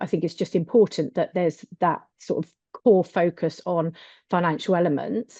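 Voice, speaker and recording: A woman talks with a British accent. Her pitch is medium, with ordinary variation. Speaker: accounting adviser on a business webinar panel. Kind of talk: webinar panel presentation. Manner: fast; hesitant, many fillers.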